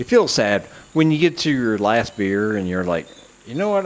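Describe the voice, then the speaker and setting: His medium-pitched voice makes very wide pitch swings as the man talks. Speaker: comedy podcast host. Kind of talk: casual solo monologue. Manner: slurred speech.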